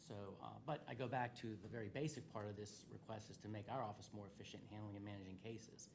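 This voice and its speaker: A man speaks at a fairly low pitch, somewhat breathy. Audible room echo surrounds his voice. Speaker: state's attorney presenting to county commissioners. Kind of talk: public meeting presentation. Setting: county government meeting. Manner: fast; halting, many fillers.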